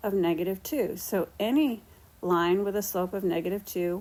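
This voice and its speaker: Using an ordinary speaking voice, a woman of medium pitch talks at a moderate pace with ordinary pitch variation. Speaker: math teacher. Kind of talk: lecture.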